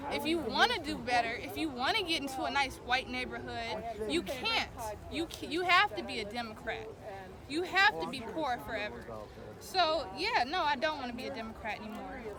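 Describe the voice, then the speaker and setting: Speaking at a moderate pace, a woman with a high pitch is heard amid noticeable background noise. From Milwaukee, Wisconsin, USA. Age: 20s. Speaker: political supporter at a rally. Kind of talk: interview answer. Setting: outdoors. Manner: passionate, emphatic.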